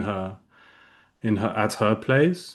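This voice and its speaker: A man with a British accent talks at a fairly slow pace. The background is quiet. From England (Reading, near London), two-language childhood. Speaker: non-duality speaker. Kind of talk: casual chat. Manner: halting, many fillers.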